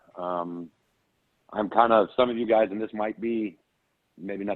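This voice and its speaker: The delivery comes at a moderate pace in a monotone, flat intonation. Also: man. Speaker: franchise owner. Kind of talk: business meeting update. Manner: loud; intense, to the point.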